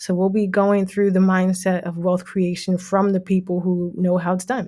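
Dark, mellow tone from a woman, moving at a moderate pace. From New Jersey, Jersey City. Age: 30s. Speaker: financial consultant, podcast host. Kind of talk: casual monologue.

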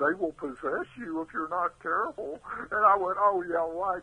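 A man with high pitch, fairly even intonation and a moderate pace. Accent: Texan. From Texas, Houston. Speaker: artist. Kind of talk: interview storytelling.

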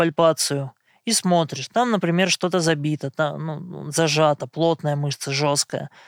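This is an unremarkable speaking voice from a man with fairly high pitch and a fairly slow pace. The sound is dry and close, with no echo. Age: 30s. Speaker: blind massage therapist. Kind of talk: interview monologue.

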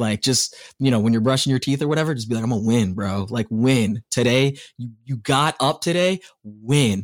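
A man with a General American accent, medium pitch and ordinary pitch variation, an unremarkable speaking voice at a moderate pace. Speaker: radio host. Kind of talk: casual interview.

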